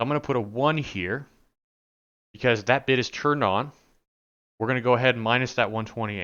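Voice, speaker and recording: A man speaks at a fairly quick pace and a medium pitch, with ordinary pitch variation. His loudness swings widely, and he leaves long, frequent pauses. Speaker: networking instructor. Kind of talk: tutorial. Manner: fast; casual, conversational.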